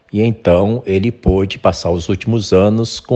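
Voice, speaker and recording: A man with an ordinary speaking voice, fairly low in pitch, at a fairly slow pace. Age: 60s. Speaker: podcast host. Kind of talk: interview.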